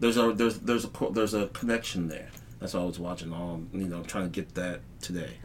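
A man with a very deep, low pitch and an American accent, at a very fast pace. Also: ordinary pitch variation. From Texas. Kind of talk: casual chat. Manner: animated.

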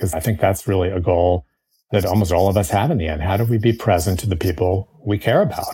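A man with a very deep, low pitch and a dark, mellow tone, somewhat breathy, at a very fast pace with ordinary pitch variation. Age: 60s. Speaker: author and columnist. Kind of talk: interview answers, conversational. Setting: remote interview with mic interference.

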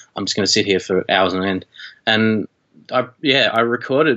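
A man speaks with an Australian accent at a fairly low pitch. His pace is moderate and his pitch variation ordinary. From Australia (rural Victoria, Shepparton). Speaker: media and music teacher, documentary filmmaker. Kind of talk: casual interview chat.

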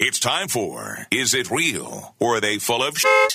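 A man's booming, put-on character voice in a dramatic tone, medium in pitch with ordinary variation, at a fairly slow pace and very even loudness. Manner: showy, dramatic.

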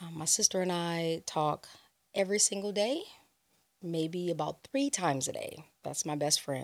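In a very clean recording with a silent background, a woman with an American accent uses an ordinary speaking voice, fairly low pitch, ordinary pitch variation and a moderate pace. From Los Angeles, California. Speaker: DJ and club brand ambassador. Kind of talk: casual interview.

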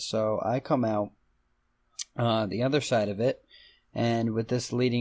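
A man with an ordinary speaking voice talks at a medium pitch and a moderate pace in a very clean recording with a silent background. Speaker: podcast co-host. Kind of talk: casual podcast chat.

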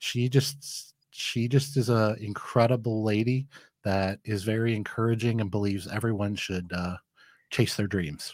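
Speaking with a Midwestern American accent, a man uses a fairly low pitch with ordinary pitch variation. He keeps a fairly slow pace on a very clean recording with a silent background. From Michigan, Flint. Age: 40s. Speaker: small business owner. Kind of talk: interview. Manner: confident.

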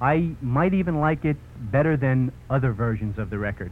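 A man with a Brooklyn accent, medium pitch, lively intonation, and a moderate pace. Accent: New York (Brooklyn). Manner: punchy, salesmanlike, clearly enunciated, hard-sell cheerfulness.

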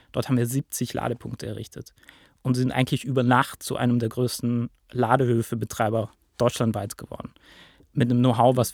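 Monotone, flat intonation from a man at a medium pitch and moderate pace, on a very clean, dry, close recording with a silent background and no echo. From Lake Constance region, rural southern Germany. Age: 20s. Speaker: PR manager at a ride-pooling company. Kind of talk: podcast interview.

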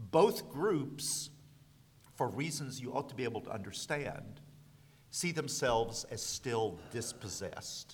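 A man's fairly high voice with vocal fry and lively intonation, in an American accent. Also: fairly slow pace. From US South. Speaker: law professor. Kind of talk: panel discussion.

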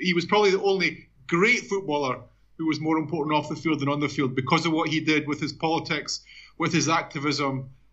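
Here a man with an Edinburgh accent speaks at a very fast pace. His pitch is fairly high, and his intonation fairly even. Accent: Scottish (Edinburgh). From Scotland, Edinburgh. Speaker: journalist and author. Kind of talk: interview.

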